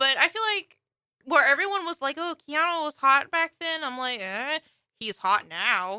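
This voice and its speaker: Raised and projected, a woman's high, bright, sharp voice moves at a moderate pace through very wide pitch swings, recorded dry and close with no echo. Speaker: podcast co-host. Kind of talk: casual chat.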